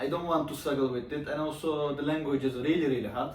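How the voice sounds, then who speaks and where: A man at a fairly high pitch talking at a very fast pace with fairly even intonation, amid audible room echo and noticeable background noise. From Turkey. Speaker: YouTuber. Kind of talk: casual chat.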